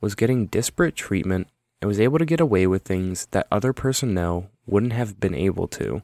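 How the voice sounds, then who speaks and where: Recorded very cleanly against a silent background with a dry, close sound and no echo, a man with an ordinary speaking voice and a fairly low pitch talks at a moderate pace with lively intonation. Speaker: podcast host. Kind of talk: true-crime narration. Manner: measured, steady storytelling delivery; formal, factual, reads figures and court details.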